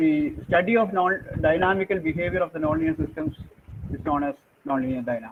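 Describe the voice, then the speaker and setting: Speaking at a fairly quick pace, a high-pitched man uses ordinary pitch variation over noticeable background noise. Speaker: professor. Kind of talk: lecture. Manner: fast; halting.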